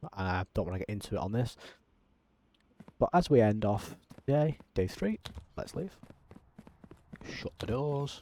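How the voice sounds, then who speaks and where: In a dry, close recording with no echo, a man with a fairly low, dark, mellow voice speaks at a fairly slow pace with lively intonation and long, frequent pauses. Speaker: gaming YouTuber. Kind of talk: gameplay commentary. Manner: frequent 'um' fillers.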